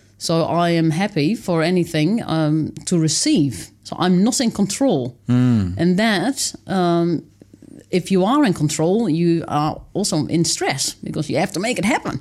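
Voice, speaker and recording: Talking at a fairly slow pace, a woman uses a fairly low pitch and lively intonation. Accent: Dutch. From Netherlands. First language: Dutch. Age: 30s. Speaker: author and wilderness dweller. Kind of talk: interview. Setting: studio.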